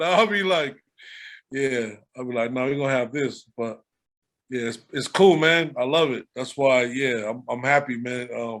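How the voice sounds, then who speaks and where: A man's medium-pitched voice with an American accent, at a moderate pace with ordinary pitch variation. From Long Beach, California. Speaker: rapper. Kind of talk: casual interview chat.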